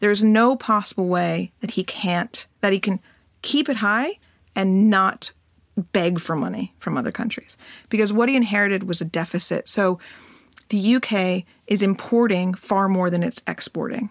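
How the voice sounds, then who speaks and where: In a plain, everyday voice, a woman speaks at a medium pitch and moderate pace with ordinary pitch variation, the sound dry and close with no echo. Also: very clean recording, silent background. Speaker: head of research for a TV series. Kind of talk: interview.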